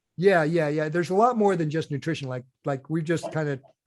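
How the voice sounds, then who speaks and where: A man talks at a very fast pace with a fairly high pitch. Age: 60s. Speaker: endurance nutrition coach and ultra athlete. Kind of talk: podcast interview. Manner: casual, repetitive with many fillers and restarts.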